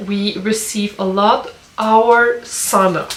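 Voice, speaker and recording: A woman's voice over noticeable background noise. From Quebec, suburbs of Montreal. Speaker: lifestyle vlogger. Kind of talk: casual vlog Q&A. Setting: outdoors in the woods by a sauna.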